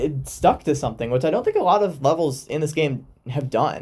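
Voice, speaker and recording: At a moderate pace, a man speaks with an American accent and a fairly high pitch. His voice is somewhat breathy. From United States. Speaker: gaming YouTuber. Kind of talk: gameplay commentary. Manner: casual, many fillers and restarts.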